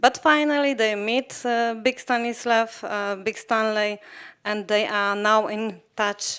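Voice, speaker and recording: In a Polish accent, a woman speaks at a very slow pace with a fairly high pitch, recorded very cleanly against a silent background. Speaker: documentary film director. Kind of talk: post-screening Q&A interview. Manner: halting, many fillers.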